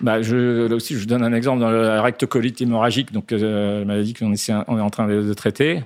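A man at a medium pitch with fairly even intonation, on a very clean recording with a silent background. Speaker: pharmaceutical company executive. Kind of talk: interview. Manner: hesitant, frequent fillers.

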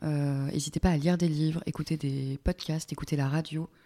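A woman speaks with a very deep, low voice and a dark, mellow tone at a moderate pace. Her intonation is fairly even, and the sound is dry and close with no echo. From Normandy, France. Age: 20s. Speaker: art director. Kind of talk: interview. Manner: hesitant, many fillers.

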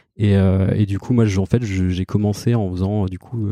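A man speaks at a fairly low pitch with a dark, mellow tone and monotone, flat intonation. His pace is fairly slow, and the sound is dry and close with no echo against a quiet background. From Normandy, Caen. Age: 30s. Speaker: head of design. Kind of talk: interview. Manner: halting, many fillers.

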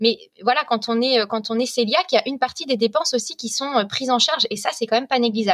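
Talking very fast, a woman uses a high pitch with ordinary pitch variation. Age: 30s. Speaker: food blogger. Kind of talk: casual chat.

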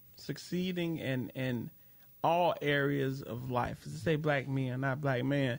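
A plain, everyday voice speaks with an American accent at a fairly slow pace. The intonation is fairly even. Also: man, medium pitch for a man. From Chicago. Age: 30s. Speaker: comedian and podcaster. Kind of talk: casual chat.

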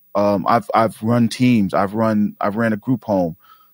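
At a moderate pace, a man with a New York accent speaks at medium pitch with ordinary pitch variation, in a very clean recording with a silent background. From New York City (Jamaica, Queens). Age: 40s. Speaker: podcast producer and association founder. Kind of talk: casual interview.

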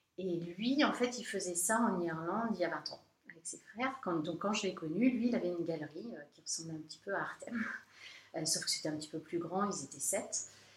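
A woman talks at a fairly quick pace with a fairly low pitch, lively intonation and big swings in loudness. Noticeable background noise is present. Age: 40s. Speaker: art gallery and framing shop owner. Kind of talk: interview. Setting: in her shop.

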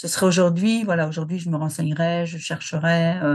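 In a quiet setting, a woman with a fairly low, somewhat breathy voice talks in a flat monotone. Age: 60s. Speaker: retiree, former HR manager. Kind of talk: personal testimony interview. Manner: hesitant, many fillers and repetitions.

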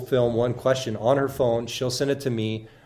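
In an American accent, a man at medium pitch talks at a moderate pace with monotone, flat intonation and audible room echo. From southern Illinois. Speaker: social media influencer and university marketer. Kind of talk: interview. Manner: hesitant, many fillers.

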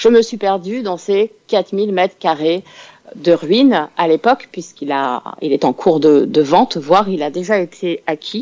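In a dry, close sound with no echo, a woman talks at a fairly slow pace with a medium pitch, lively intonation and a dark, mellow tone. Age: 40s. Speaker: crime novelist. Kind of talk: radio interview. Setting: phone call.

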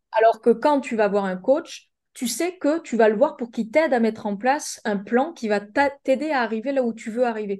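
With an unremarkable speaking voice, a woman at a fairly high pitch talks at a moderate pace with ordinary pitch variation and hardly any pauses against a quiet background. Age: 20s. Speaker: life coach and business mentor. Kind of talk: casual chat.

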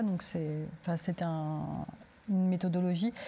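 A somewhat breathy woman's voice of medium pitch, monotone with flat intonation, at a fairly quick pace. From Turkey. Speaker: theatre director. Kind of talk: panel discussion.

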